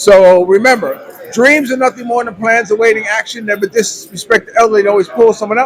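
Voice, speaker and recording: A high-pitched man talks at a very fast pace against noticeable background noise. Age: 60s. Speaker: vlogger. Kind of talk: casual interview. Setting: coffee house.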